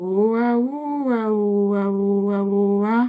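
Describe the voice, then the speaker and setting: A woman puts on a character voice at a medium pitch, talking at a fairly slow pace. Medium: read story. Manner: cheerful, bouncy.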